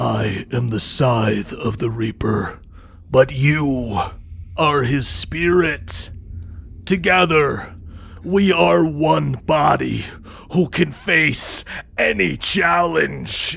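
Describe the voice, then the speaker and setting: A man speaks at a medium pitch in a put-on character voice, moving at a very slow pace with long, frequent pauses. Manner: solemn, commanding.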